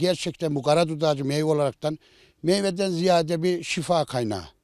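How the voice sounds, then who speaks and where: Speaking fairly quickly in a plain, everyday voice, a man with a fairly high pitch and ordinary pitch variation is heard in a very clean, silent recording with a dry, close sound and no echo. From Central Anatolia, Ankara countryside. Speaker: village headman. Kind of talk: interview.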